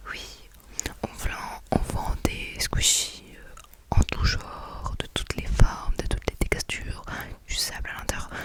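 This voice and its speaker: Noticeable background noise sits behind the recording. A woman's whisper moves along very slowly. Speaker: ASMR creator doing a shop-assistant roleplay. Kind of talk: ASMR roleplay, casual talk to the listener. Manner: soft, friendly, chatty.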